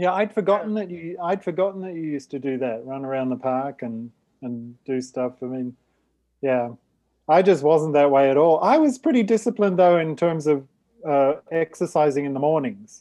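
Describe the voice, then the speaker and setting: Against a quiet background, a man with a dark, mellow tone and a fairly high pitch speaks at a moderate pace with lively intonation. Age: 50s. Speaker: podcast co-host. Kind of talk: casual chat.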